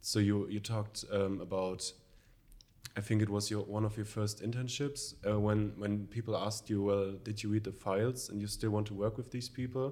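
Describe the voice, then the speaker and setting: A man's dark, mellow voice with a German accent, fairly low in pitch, monotone and flat, at a moderate pace. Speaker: social work student. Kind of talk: conversational interview. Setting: studio. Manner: halting.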